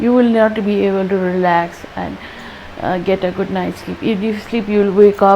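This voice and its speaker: Noticeable background noise sits behind a woman at medium pitch. She speaks at a moderate pace with monotone, flat intonation. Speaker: dentist sharing health tips. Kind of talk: health vlog talk.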